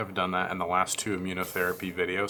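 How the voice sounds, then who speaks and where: A man speaks quietly at a fairly quick pace in a very deep, low voice. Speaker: vlogger, parent of a sick child. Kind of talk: video diary update. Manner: quiet, hushed.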